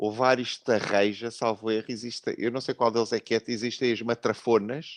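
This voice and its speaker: At a medium pitch and moderate pace, a man speaks in a monotone, flat intonation with hardly any pauses, in a dry, close recording with no echo and a quiet background. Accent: European Portuguese. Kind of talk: online panel debate.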